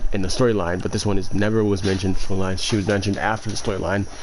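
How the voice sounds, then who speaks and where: A man's fairly low voice, monotone and flat in intonation, carries audible room echo. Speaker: gaming YouTuber. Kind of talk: gameplay commentary. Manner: fast; halting.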